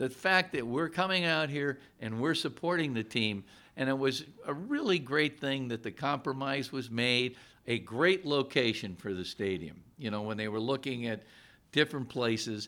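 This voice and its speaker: Medium-pitched male voice with an American accent, a bright, sharp tone and lively intonation. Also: moderate pace. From northeastern Pennsylvania (Scranton). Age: 70s. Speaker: county executive. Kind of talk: interview. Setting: stadium suite studio set.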